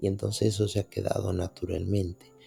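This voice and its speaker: On a very clean recording with a silent background, a man speaks at a fairly low pitch in a dark, mellow, somewhat breathy tone with flat, monotone intonation. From Dominican Republic. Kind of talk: reflective podcast monologue.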